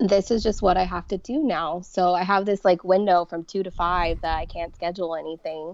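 A plain, everyday voice moves at a fairly quick pace with hardly any pauses and fairly even intonation over a quiet background. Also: woman, medium pitch for a woman. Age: 30s. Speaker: person living with multiple sclerosis. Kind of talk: casual interview.

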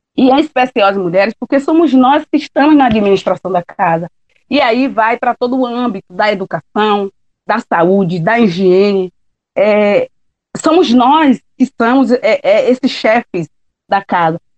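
Speaking with a Bahian accent, a woman uses a fairly high pitch, lively intonation, a fairly slow pace and very even loudness, recorded with a dry, close sound and no echo. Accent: Bahian Brazilian Portuguese. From Bahia, Brazil (Ilha de Maré, Salvador). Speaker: shellfish gatherer and quilombola community leader. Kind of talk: interview testimony.

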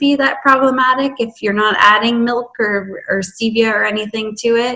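A woman's fairly high voice moves at a moderate speed with fairly even intonation while noticeable noise sits in the background. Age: 30s. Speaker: fasting coach. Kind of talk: casual interview.

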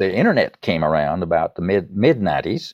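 A man at a moderate pace with lively intonation. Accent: Southern US. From US South, East Tennessee. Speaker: songwriter. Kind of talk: interview.

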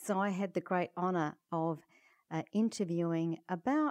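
In an Australian accent, a woman with a medium pitch and a dark, mellow tone sounds dry and close with no echo. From Perth, Western Australia. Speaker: head of an international aging organisation. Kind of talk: interview.

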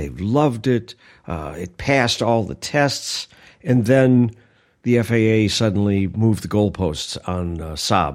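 An unremarkable speaking voice from a man, fairly low in pitch with lively intonation, at a fairly slow pace, in a very clean recording with a silent background. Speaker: pilot and editor. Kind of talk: casual chat.

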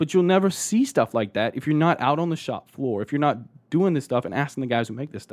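Heard in a dry, close sound with no echo, a man with an American accent talks at a very fast pace, with very wide pitch swings. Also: very clean recording, silent background. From Texas, Austin. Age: 20s. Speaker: Air Force veteran and process improvement consultant. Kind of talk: casual interview.

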